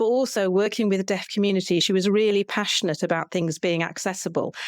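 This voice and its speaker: Over a very clean recording with a silent background, a woman with an unremarkable speaking voice talks at a fairly quick pace and a medium pitch, with ordinary pitch variation. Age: 60s. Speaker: podcast co-host and folk singer. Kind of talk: interview.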